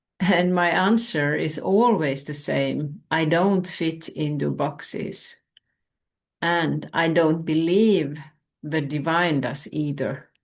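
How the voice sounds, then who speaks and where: In a Finnish accent, the speaker goes at a very slow pace with ordinary pitch variation. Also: woman, very deep, low pitch for a woman. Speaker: spiritual teacher. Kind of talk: spiritual talk.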